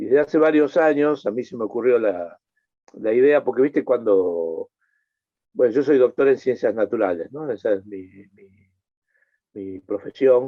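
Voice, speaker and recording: A man with an Argentine accent talks at a moderate pace and medium pitch, with lively intonation. His loudness swings widely and he pauses often and at length. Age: 60s. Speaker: environmental scientist, NGO president. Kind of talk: interview conversation. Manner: halting, many repetitions.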